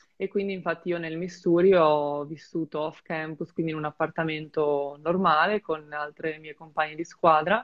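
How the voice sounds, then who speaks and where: The delivery is monotone and flat at a moderate pace, with hardly any pauses and big swings in loudness. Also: woman, very deep, low pitch for a woman. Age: 20s. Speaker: former student athlete, volleyball player. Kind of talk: interview. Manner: halting.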